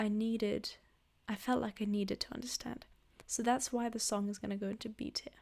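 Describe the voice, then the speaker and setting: A woman is talking. She speaks with a non-native accent. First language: not English. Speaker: music reviewer. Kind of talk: casual album review monologue. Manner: hesitant, filler-heavy.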